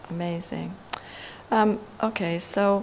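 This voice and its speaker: Noticeable background noise sits beneath words delivered at a fairly slow pace. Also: woman. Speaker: academic, anti-racism researcher. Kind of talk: panel discussion. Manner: loud.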